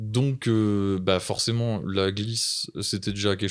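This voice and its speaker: This man has a plain, everyday voice, fairly low in pitch, speaking at a fairly slow pace with fairly even intonation on a very clean recording with a silent background. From Brittany, France. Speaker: seasonal ski resort worker. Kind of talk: casual chat.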